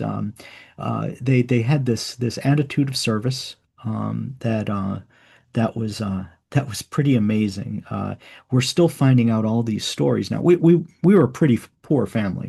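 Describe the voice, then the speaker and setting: A man talks at a moderate pace with a medium pitch and lively intonation. His tone is dark and mellow, somewhat breathy, over a quiet background. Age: 60s. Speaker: author and podcast host on early church. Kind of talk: interview. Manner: halting, many repetitions and fillers.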